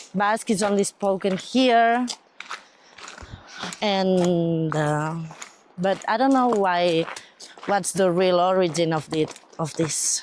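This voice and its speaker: Over noticeable background noise, a woman at a medium pitch speaks at a very slow pace with very even loudness and long, frequent pauses. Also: ordinary pitch variation. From Catalonia, Spain, city near Barcelona. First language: Catalan or Spanish. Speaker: pilgrim interviewee. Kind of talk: casual chat. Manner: halting.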